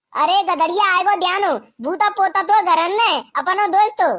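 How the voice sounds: In a cartoonish character voice pitched extremely high, a woman talks at a moderate pace.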